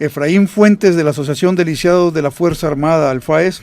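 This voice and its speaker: A man with a fairly high pitch talks at a moderate pace in a normal speaking voice, his intonation fairly even. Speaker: radio host, retired army officer. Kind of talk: radio talk show.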